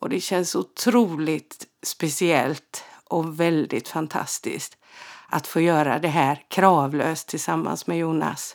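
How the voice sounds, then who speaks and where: On a very clean recording with a silent background, a woman speaks at a very slow pace with a very deep, low pitch, ordinary pitch variation and vocal fry. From Sweden, Halland (Frillesås). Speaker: podcast host and medium. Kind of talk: casual storytelling monologue.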